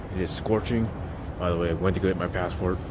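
Noticeable background noise sits behind a man speaking in a very deep, low pitch with ordinary pitch variation. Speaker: food reviewer. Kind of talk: casual vlog review. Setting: indoors in public building, selfie camera. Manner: whispering. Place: street. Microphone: phone near.

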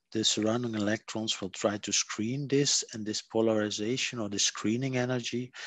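Against a quiet background, a man talks at a moderate pace with fairly even intonation in a dry sound with no echo. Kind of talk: lecture.

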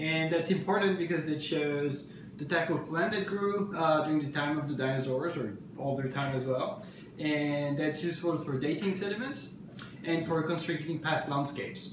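With a French accent, a man talks at a moderate pace and ordinary pitch variation. The room echo is audible and background noise is noticeable. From France. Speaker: palynologist. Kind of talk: casual self-introduction. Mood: relaxed, informative. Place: kitchen. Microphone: phone near.

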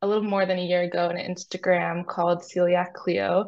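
Here is a woman with an American accent, pitched at a medium level. Her intonation stays monotone and flat. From US Northeast, New York City. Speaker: clinical research coordinator. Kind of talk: interview. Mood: calm, friendly. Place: home room. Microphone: video call.

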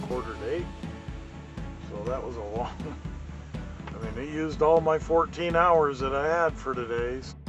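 Over loud music in the background, a man talks at a fairly slow pace. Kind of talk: casual vlog chat. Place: car. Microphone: phone near.

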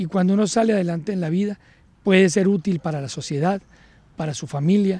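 Dry with no echo, a man's high-pitched voice moves at a fairly quick pace, showing ordinary pitch variation and a dark, mellow tone. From Colombia, Cúcuta (Norte de Santander); Norte de Santander, Colombia. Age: 40s. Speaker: police colonel, police academy director. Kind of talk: interview. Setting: at the police academy. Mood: calm, reflective. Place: garden. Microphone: handheld.

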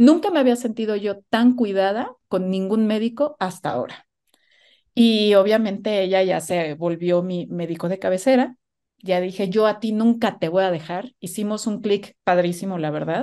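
Over a quiet background, a woman at medium pitch talks at a moderate pace with a dark, mellow tone and ordinary pitch variation. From Mexico. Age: 40s. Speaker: guest sharing motherhood story; guest. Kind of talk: personal testimony. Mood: open, personal, animated. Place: home room. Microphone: video call.

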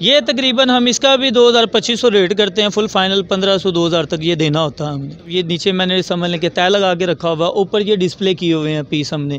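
High-pitched and fairly bright in tone, a man talks at a fairly quick pace with few pauses and ordinary pitch variation.

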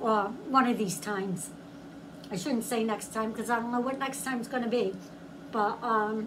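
Noticeable background noise sits under a woman talking at a moderate tempo, her pitch varying in an ordinary way. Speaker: food reviewer. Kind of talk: casual vlog chat. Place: home room. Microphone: phone near.

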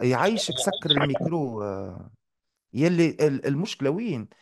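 The speaker is a man with a fairly high pitch. Background noise is noticeable. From Tunisia. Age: 40s. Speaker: math teacher. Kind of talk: live online lesson. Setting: live online class.

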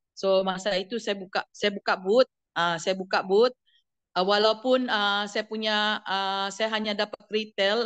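A woman's fairly high voice at a fairly slow pace against a quiet background. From Sabah. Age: 50s. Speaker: direct sales member. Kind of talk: testimony. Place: home room. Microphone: video call.

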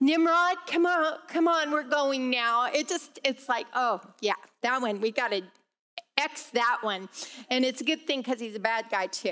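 Against a quiet background, a woman uses a raised, projected voice with a bright, sharp tone. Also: moderate pace. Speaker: Bible class teacher. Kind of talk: lecture. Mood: light, joking. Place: hall.

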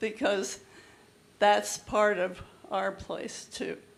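A woman's medium-pitched voice with vocal fry, fairly even intonation and a very slow pace, in audible room echo. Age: 80s+. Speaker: resident speaking at public comment. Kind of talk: public comment at council meeting. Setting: council chamber with audience. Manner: halting.

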